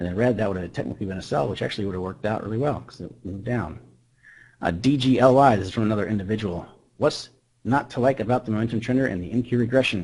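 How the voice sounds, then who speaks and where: A man's medium-pitched voice moves at a very fast pace, its pitch varying in an ordinary way. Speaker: trader presenting a trading indicator. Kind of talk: webinar presentation.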